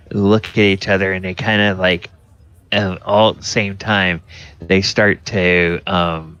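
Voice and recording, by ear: The voice is reading aloud in a natural voice, with fairly even intonation.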